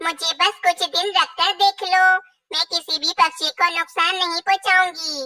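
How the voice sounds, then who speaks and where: A female-sounding, squeaky cartoonish character voice speaks at a moderate pace with an extremely high pitch. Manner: persuasive, reassuring.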